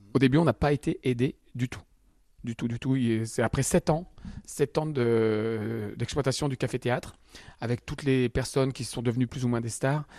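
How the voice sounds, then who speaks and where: A man speaks at a moderate pace with a medium pitch and fairly even intonation. His tone is dark and mellow, the sound dry and close with no echo, over a quiet background. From Picardy, France (Albert, Somme). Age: 50s. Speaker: comedian. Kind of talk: radio interview. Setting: comedy club venue.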